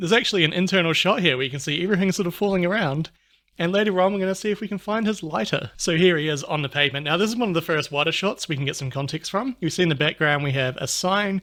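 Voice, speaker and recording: With a New Zealand accent, a man speaks at a very fast pace with hardly any pauses, in a high pitch with ordinary pitch variation. His tone is upbeat, bright and sharp, in a very clean recording with a silent background. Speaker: YouTuber. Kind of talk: video commentary. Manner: casual, upbeat.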